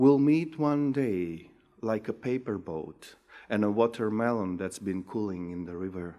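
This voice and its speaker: A man's fairly low voice in a Macedonian accent, fairly slow with ordinary pitch variation, on a very clean recording with a silent background. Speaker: poet. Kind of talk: poetry reading.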